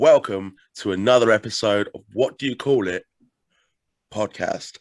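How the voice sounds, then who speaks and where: A man with an English accent at medium pitch and moderate pace, long and frequent pauses, dry close sound with no echo, quiet background. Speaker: podcast host. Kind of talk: interview.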